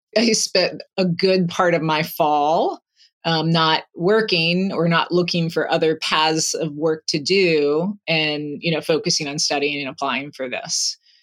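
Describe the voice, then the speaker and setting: A woman speaks at a fairly slow pace with a fairly low pitch and ordinary pitch variation. The recording is very clean, with a silent background. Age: 40s. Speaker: coaching client. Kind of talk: coaching session conversation. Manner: reflective, hesitant.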